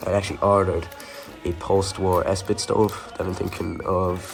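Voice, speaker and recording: A man's voice over music in the background. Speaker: WW2 re-enactor and collector. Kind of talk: casual talk to camera.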